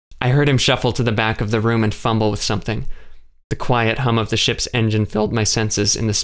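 The delivery is plain reading aloud. Pitch varies in an ordinary way.

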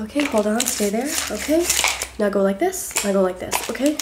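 Over loud background noise, a woman speaks with an American accent and ordinary pitch variation. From US South. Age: 20s. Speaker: ASMR creator. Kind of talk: ASMR roleplay with rapid-fire instructions, repeated phrases. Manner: soft-spoken, whispery, repetitive, fast-paced and chaotic; playful, cajoling, rapid-fire commands. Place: home room. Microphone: phone near.

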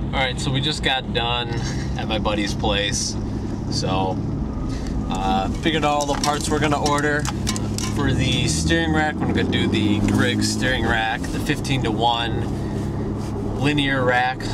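Loud background noise runs under a dry sound with no echo. A man talks at a fairly slow pace. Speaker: car enthusiast vlogger. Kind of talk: casual vlog chat. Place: car. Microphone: old recording.

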